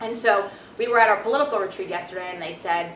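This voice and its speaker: A woman with a Brooklyn accent speaks very fast with ordinary pitch variation, amid audible room echo and noticeable background noise. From Brooklyn, New York. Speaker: alumna and government appointee. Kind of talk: testimony. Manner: animated, with many fillers and restarts.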